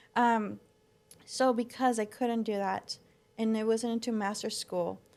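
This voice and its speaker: A woman in a Spanish accent, fairly high in pitch, monotone and flat in intonation, at a fairly slow pace. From Mexico and southern California. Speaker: floral designer and business owner. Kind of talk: podcast interview.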